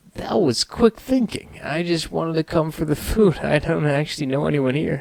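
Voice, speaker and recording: A put-on character voice from a man, moderate in pace and fairly high in pitch. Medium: read story.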